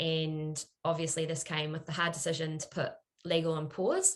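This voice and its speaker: A woman's very deep, low voice with a New Zealand accent, monotone and flat in intonation, at a moderate pace. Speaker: product marketer, former lawyer. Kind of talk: panel discussion.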